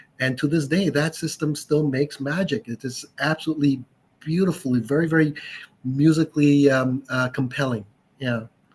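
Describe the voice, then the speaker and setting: Somewhat breathy, a man speaks at a moderate pace with a fairly high pitch and fairly even intonation. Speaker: audio expert and store owner. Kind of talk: casual chat. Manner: calm, sleep-inducing.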